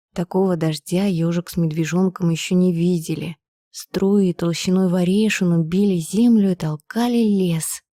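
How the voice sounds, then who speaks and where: On a very clean recording with a silent background and a dry, close sound with no echo, a woman speaks quietly at a fairly slow pace. Her medium-pitched voice has a dark, mellow tone, a calm tone and fairly even intonation. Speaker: professional narrator. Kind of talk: bedtime story reading. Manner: calm, quiet.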